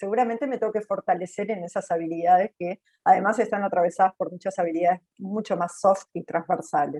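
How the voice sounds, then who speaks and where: A woman's dark, mellow voice at a fairly quick clip, hardly any pauses, ordinary pitch variation, and a dry, close sound with no echo. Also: medium pitch for a woman. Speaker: panelist from a job training institute. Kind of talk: webinar panel commentary.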